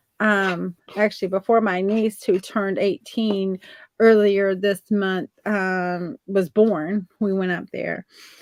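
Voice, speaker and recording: A woman speaks at a very slow pace in a monotone, flat intonation, on a very clean recording with a silent background. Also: medium pitch for a woman. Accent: Southern. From Virginia, US South. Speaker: artist guest. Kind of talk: casual chat. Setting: live video stream.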